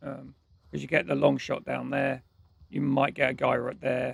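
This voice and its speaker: A man's vocal fry at a moderate pace. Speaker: gaming streamer. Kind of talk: live gameplay commentary. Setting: live stream. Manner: casual.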